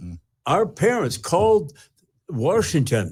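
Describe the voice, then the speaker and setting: With an American accent, a man speaks at a fairly slow pace in a somewhat breathy voice with very wide pitch swings, recorded very cleanly against a silent background. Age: 90s. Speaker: war veteran. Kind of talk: interview answer.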